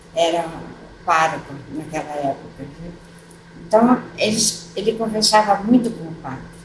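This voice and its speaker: Amid noticeable background noise, a woman with a fairly low pitch speaks at a fairly slow pace with lively intonation. Her loudness swings widely, and she makes long, frequent pauses. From São Paulo state, Brazil (Tatuí). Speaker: retired teacher, widow of former mayor. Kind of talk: oral history interview. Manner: halting, many fillers.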